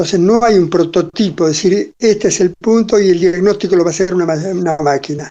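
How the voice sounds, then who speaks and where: A man's high-pitched voice, dark and mellow in tone, at a fairly quick pace with fairly even intonation. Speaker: cardiologist and medical researcher. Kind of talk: interview. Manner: halting, many fillers.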